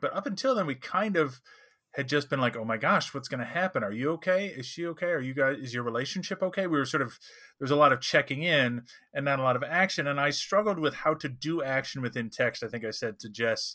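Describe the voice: A man with a medium pitch talks at a fairly quick pace, his tone bright and sharp and his intonation lively.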